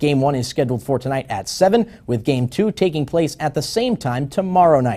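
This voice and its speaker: The voice moves at a fairly quick pace with lively intonation and a dark, mellow, somewhat breathy tone. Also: man. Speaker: sports anchor. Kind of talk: local TV sportscast read.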